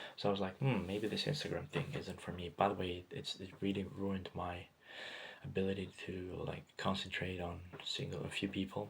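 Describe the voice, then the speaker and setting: A man's very deep, low, somewhat breathy voice at a moderate pace with ordinary pitch variation. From Greece. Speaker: vlogger. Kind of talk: personal monologue. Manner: halting, many fillers and repetitions.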